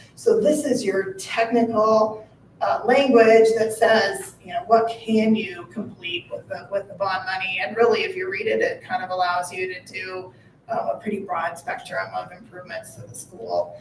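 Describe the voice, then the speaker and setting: Over noticeable background noise, a woman with a fairly high pitch talks at a moderate pace, with ordinary pitch variation and big swings in loudness. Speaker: municipal finance advisor. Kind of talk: board meeting presentation. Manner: hesitant, many fillers.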